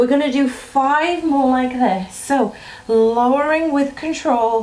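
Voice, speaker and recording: At a very slow pace, a woman speaks in a high voice at very even loudness with ordinary pitch variation, amid noticeable background noise and audible room echo. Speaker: fitness instructor. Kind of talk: workout instruction. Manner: encouraging, instructive.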